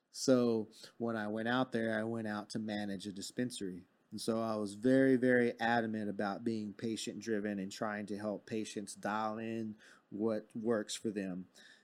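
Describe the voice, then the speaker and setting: A man with an American accent speaks at a moderate pace in a fairly low pitch. His intonation is flat and monotone, and the recording is very clean with a silent background. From Texas, Fort Worth. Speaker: cannabis grower and industry professional. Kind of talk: interview.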